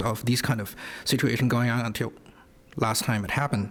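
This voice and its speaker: A man speaks at a medium pitch with a non-native accent. His intonation stays fairly even. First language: not English. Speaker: school board candidate. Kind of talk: candidate forum statement. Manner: halting, many fillers.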